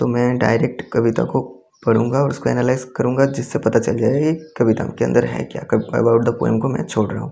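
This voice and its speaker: With a Bengali accent, a man speaks at medium pitch in a dark, mellow tone with vocal fry and fairly even intonation. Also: moderate pace. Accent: Bengali-accented Hindi and Indian English. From Bengal, India. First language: Bengali (speaking Hindi). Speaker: teacher. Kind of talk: tutorial. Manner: halting.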